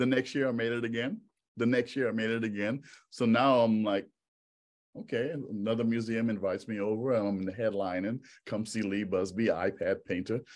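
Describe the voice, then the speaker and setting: A man's medium-pitched voice with fairly even intonation, a plain, everyday voice. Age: 50s. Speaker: photographer. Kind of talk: interview.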